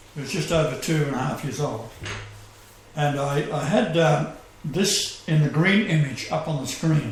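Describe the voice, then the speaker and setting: A man's fairly high voice moves at a moderate pace with ordinary pitch variation, amid noticeable background noise and audible room echo. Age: 70s. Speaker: self-proclaimed messiah radio host. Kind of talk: casual chat.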